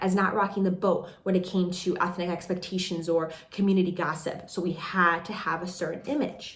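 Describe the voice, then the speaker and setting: A woman with a warm tone talks at a fairly quick pace in a monotone, flat intonation, with noticeable background noise behind her. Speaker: life coach and podcast host. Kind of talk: podcast monologue, casual talk to camera. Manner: warm, conversational, validating.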